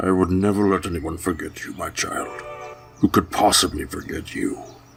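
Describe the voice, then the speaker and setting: Over clear background music, a man uses a put-on character voice pitched very deep and low. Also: moderate pace. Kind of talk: dramatic reading. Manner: sorrowful, pleading.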